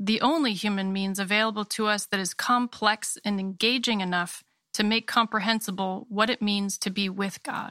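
A woman with a slight Maine accent speaks at a moderate pace in a bright, sharp tone with fairly even intonation, on a very clean recording with a silent background and a dry, close sound with no echo. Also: medium pitch for a woman. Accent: slight Maine accent, Canadian-sounding. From Maine, US. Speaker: founder and editor of a creative studio and magazine. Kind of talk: interview conversation; reading aloud.

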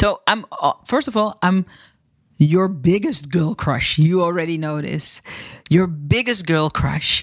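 A woman with a Dutch accent, fairly low pitch and lively intonation at a fairly slow pace, in a very clean recording with a silent background and a dry, close sound free of echo. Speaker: podcast host, storytelling coach for entrepreneurs. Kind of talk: interview.

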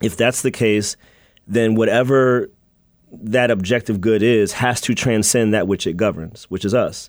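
A man with an American accent talks at a moderate pace in an unremarkable speaking voice, medium in pitch, with fairly even intonation and very even loudness, in a very clean recording with a silent background. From US Mid-Atlantic (Maryland and Virginia). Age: young. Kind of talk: radio interview.

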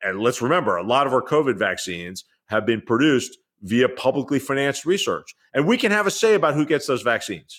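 Very wide pitch swings at a very fast pace, with very even loudness, in a very clean recording with a silent background. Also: man, fairly high pitch for a man. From New York City. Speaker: journalist and author. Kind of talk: interview conversation.

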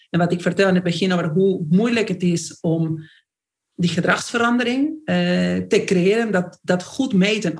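In an Argentine accent, a woman with a medium pitch and a somewhat breathy voice talks at a moderate pace, her loudness very even and her pitch varying in an ordinary way. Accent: Argentine Spanish accent in Dutch. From Argentina. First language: Spanish (speaking Dutch). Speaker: company CEO. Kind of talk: interview. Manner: animated.

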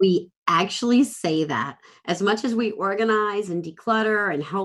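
A woman speaks in an unremarkable speaking voice at medium pitch with ordinary pitch variation. The background is quiet. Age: 50s. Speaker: productivity coach and cancer survivor. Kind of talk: casual chat.

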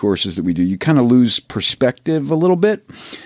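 A man with a Philadelphia accent talks at a moderate pace, his pitch swinging very widely in a dark, mellow tone, recorded dry and close with no echo. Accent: Philadelphia American. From Philadelphia, US. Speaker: golf social media photographer. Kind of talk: casual chat. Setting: studio.

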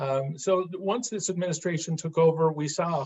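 At a moderate pace, a man uses an ordinary speaking voice, fairly high in pitch with ordinary pitch variation. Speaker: state treasurer, former investment manager. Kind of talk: interview, explaining policy.

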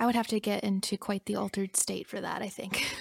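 A woman at medium pitch speaks in a somewhat breathy, monotone voice with flat intonation, in a very clean recording with a silent background and a dry, close sound with no echo. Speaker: podcast co-host, music therapist. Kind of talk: casual chat. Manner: laughs often.

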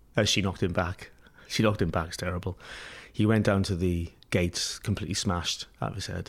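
The speech moves at a very fast pace. Intonation stays fairly even. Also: man, very deep, low pitch for a man. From Wales, Pembrokeshire. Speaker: artist, musician and bar owner. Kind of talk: interview. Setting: apartment. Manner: halting, many fillers and repetitions.

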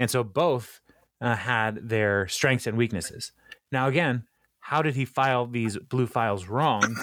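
A man speaks at a fairly slow pace with medium pitch and ordinary pitch variation. He has a plain, everyday voice. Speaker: podcast host. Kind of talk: casual chat. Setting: remote recording over the internet.

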